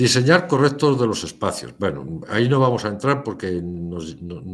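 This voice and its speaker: Audible room echo surrounds a man speaking at a fairly slow pace. His pitch sits in the medium range but swings very widely. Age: 60s. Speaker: lecturer. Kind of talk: lecture.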